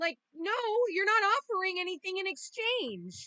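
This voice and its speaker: Using a raised, projected voice, a woman speaks at a moderate pace with lively intonation. Her tone is bright and sharp, and the sound is dry and close with no echo. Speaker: tarot reader. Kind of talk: tarot reading. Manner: casual, swearing rants.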